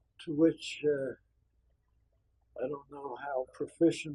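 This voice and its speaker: A man speaks with a fairly high pitch and a dark, mellow tone. His delivery is somewhat breathy, with monotone, flat intonation. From Austria, raised in US from age ten. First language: German. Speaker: retired judge. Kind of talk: oral history interview. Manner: halting, many fillers.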